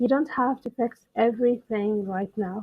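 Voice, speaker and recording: Soft-spoken and calm in tone, a woman talks at a fairly high pitch with ordinary pitch variation. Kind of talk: soft-spoken English-learning podcast monologue. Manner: slow, soft, calm.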